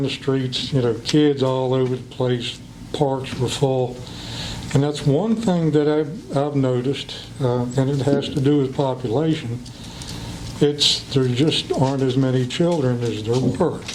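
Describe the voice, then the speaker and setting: With an American accent, a man speaks at a fairly slow pace with a medium pitch and fairly even intonation. Audible room echo and noticeable background noise are present. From western Virginia, Clifton Forge. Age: 60s. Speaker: school board candidate. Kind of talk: public comment speech. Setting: county board meeting.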